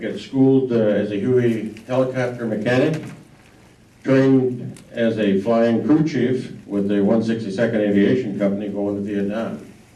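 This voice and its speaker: In an American accent, a man with a medium pitch and a dark, mellow tone speaks at a moderate pace with fairly even intonation, and audible room echo surrounds him. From Wisconsin, US Midwest. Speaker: war veteran. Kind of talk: talk to a local history audience. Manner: halting, many fillers.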